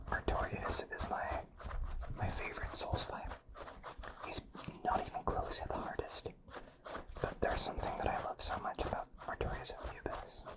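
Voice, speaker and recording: Whispering at a moderate pace with long, frequent pauses, the voice comes through noticeable background noise. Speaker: ASMR creator. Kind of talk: ASMR whispering.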